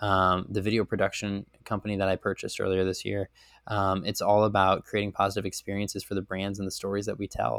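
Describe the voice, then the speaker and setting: With an American accent, a man in an ordinary speaking voice talks at a fairly quick pace and a fairly low pitch, the sound dry and close with no echo on a very clean recording with a silent background. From Chicago, US. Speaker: entrepreneur. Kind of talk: interview.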